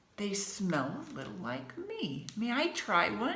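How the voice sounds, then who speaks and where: A female-sounding voice does a put-on character at a medium pitch. It moves at a fairly slow pace with audible echo. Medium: read story.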